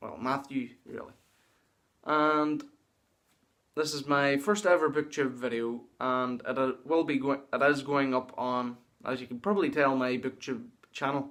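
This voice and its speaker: In a Northern Irish accent, a man speaks at a fairly slow pace, with long, frequent pauses. His pitch is fairly high and his intonation fairly even. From Northern Ireland. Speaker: booktuber. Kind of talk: casual vlog monologue. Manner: halting.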